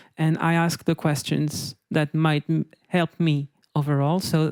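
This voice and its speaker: A fairly slow voice with a non-native accent, in a very clean recording against a silent background. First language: not English. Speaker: game designer on a panel. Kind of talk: panel discussion. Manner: halting, many restarts.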